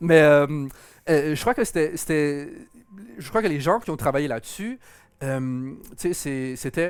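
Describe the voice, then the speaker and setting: Recorded very cleanly against a silent background, a man with a fairly high pitch talks at a fairly slow pace with ordinary pitch variation. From Quebec, Montreal. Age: 30s. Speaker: game producer. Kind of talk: interview. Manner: halting, many repetitions.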